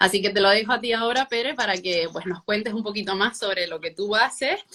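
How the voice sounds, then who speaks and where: A woman with a Canarian accent at a fairly quick pace, amid noticeable background noise. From Canary Islands (Gran Canaria). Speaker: pilates instructor. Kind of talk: online interview.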